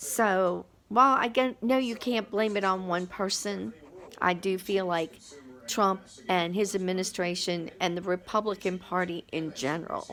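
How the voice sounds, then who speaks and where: An ordinary speaking voice from a woman, pitched at a medium level, with ordinary pitch variation. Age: 60s. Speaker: vlogger. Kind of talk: personal testimony. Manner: casual, conversational.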